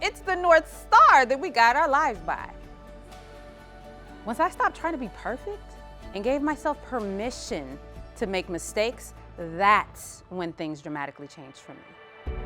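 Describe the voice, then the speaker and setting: A woman at a moderate pace, with long, frequent pauses, big swings in loudness, and music in the background. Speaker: keynote speaker, sales strategist. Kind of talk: keynote speech to an audience.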